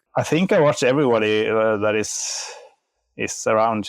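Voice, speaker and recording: A man at a fairly low pitch, speaking at a fairly slow pace. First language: Norwegian and Finnish. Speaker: software developer. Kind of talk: casual chat.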